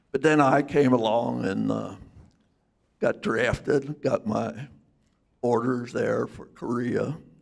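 A quiet background, a very slow pace, and long, frequent pauses. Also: man. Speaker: war veteran. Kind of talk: storytelling to a live audience. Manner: casual, halting. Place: hall. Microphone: handheld.

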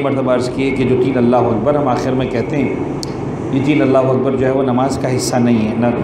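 This man's delivery moves fairly quickly. The room echoes audibly, and there is noticeable noise behind him. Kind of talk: sermon. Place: hall. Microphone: podium.

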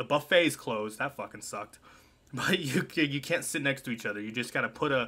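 A man's bright, sharp voice at a fairly quick pace, with ordinary pitch variation. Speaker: storytelling vlogger. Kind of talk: casual vlog chat. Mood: relaxed, amused. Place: home room.

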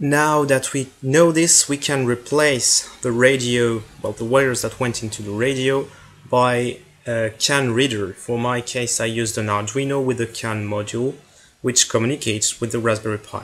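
A man with a French accent talks at a moderate pace in a medium pitch, his intonation fairly even. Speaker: hobbyist maker, tech video creator. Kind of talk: project explanation video.

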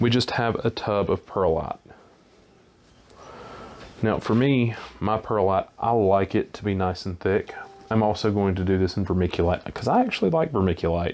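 A man's fairly low voice at a moderate pace, with ordinary pitch variation and long, frequent pauses. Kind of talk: tutorial. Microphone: phone near.

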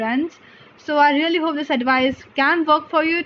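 A woman talks at a fairly quick pace with fairly even intonation over light background noise. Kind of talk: study tips tutorial. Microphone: phone near.

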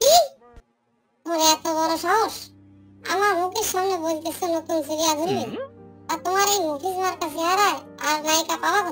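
A woman does a cartoonish character voice at an extremely high pitch, with faint music in the background. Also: moderate pace. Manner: angry, scolding, threatening.

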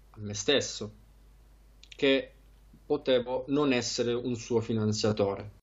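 Against a quiet background, a man delivers monotone, flat intonation at a medium pitch and a fairly slow pace. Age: 20s. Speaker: trader; interviewee. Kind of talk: interview. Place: home room. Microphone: headset.

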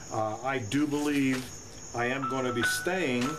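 Music plays behind a man speaking with ordinary pitch variation. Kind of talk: casual vlog chat. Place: garage. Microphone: webcam.

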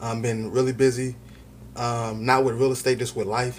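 A man speaks at a moderate pace. Light background noise can be heard. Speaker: real estate vlogger. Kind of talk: casual vlog chat. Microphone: phone near.

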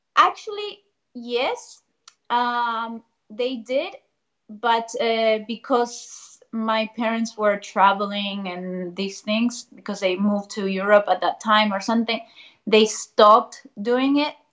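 Her pace is very slow, with a fairly high pitch and ordinary pitch variation. The woman speaks with a Spanish accent. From Argentina, Buenos Aires. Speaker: ballet dancer. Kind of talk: casual chat. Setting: video call.

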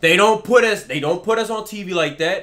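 Here a man talks with an American accent. His voice is high-pitched. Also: quiet background. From Texas. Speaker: sports gaming YouTuber. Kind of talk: angry rant about video game player ratings. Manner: heated, exasperated and repetitive, hammering the same complaint. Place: home room.

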